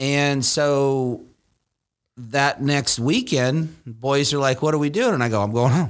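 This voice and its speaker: An ordinary speaking voice from a man, fairly high in pitch with ordinary pitch variation, very even loudness and a fairly slow pace. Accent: American. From Nebraska, US Midwest. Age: 40s. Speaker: motorcycle performance shop owner. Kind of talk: casual chat. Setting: studio.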